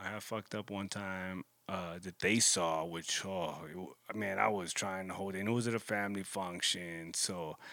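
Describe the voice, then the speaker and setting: At a moderate pace, a man with a very deep, low voice speaks with fairly even intonation. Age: 30s. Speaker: podcast host. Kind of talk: casual monologue.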